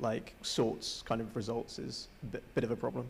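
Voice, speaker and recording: A man's voice at a moderate pace over light background noise. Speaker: student course rep. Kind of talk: audience comment. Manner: hesitant, frequent 'like' fillers. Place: hall. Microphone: handheld.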